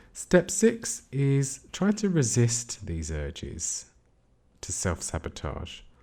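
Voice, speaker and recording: A man's voice, dark and mellow in tone, comes out somewhat breathy. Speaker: CBT therapist. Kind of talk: educational podcast talk.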